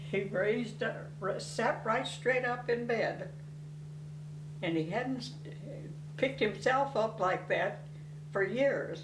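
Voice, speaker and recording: A woman speaks at a very slow pace, with long and frequent pauses. The room echo is audible, and background noise is noticeable. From Tennessee. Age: 90s. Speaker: family elder interviewee. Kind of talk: oral history interview.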